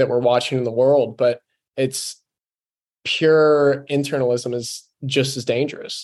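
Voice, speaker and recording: With flat, monotone intonation, a man's voice sits at a medium pitch. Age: 20s. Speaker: podcast host. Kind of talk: casual interview; podcast intro.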